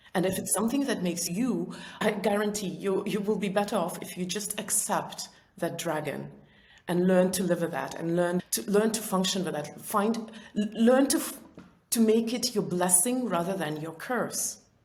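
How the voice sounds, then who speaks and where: A woman speaks at a moderate pace and medium pitch with a non-native accent and ordinary pitch variation, in a room with audible echo and noticeable background noise. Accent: non-native, described as weird. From Soviet Union. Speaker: entrepreneur and author. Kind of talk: interview. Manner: talkative.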